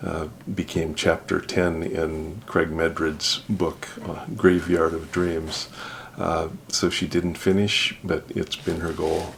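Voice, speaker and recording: Very slow and very deep, a man's low-pitched voice keeps a fairly even intonation. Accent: Alaskan. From Alaska. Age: 60s. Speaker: judge, trip participant. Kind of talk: interview.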